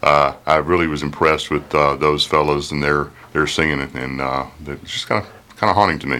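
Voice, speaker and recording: Barely pausing, a man with a very deep, low pitch speaks at a fairly quick pace with fairly even intonation over noticeable background noise. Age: 50s. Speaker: film enthusiast and Sunday school teacher. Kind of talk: radio talk show.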